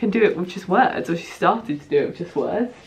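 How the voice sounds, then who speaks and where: Against noticeable background noise, a woman with a southern English accent speaks in an animated tone with lively intonation. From southeast England, Bromley. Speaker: vlogger. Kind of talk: casual chat.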